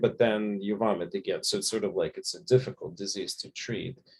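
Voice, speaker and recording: A man talks at a fairly quick pace. He has a non-native accent. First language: not English. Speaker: physician and author. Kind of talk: panel discussion.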